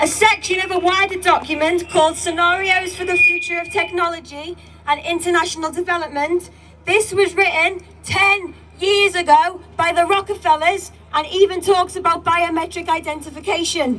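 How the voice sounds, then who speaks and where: A woman's raised, projected voice sits at an extremely high pitch, moving at a moderate pace with fairly even intonation. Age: young. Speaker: protest speaker. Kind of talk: public speech. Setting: outdoor rally with crowd.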